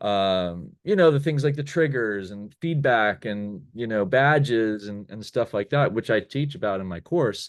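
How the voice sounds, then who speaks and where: At a moderate pace, a man talks in a medium-pitched voice. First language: not English. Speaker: online course creator, former game design professor. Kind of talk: casual chat. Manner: halting, many fillers.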